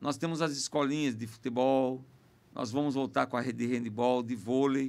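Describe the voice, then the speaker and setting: A man talks with fairly even intonation, keeping to a moderate pace. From Sorocaba, São Paulo state, Brazil; São Paulo state, Brazil. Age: 50s. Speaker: mayor and politician; mayor, politician. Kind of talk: podcast interview. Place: studio. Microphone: studio mic.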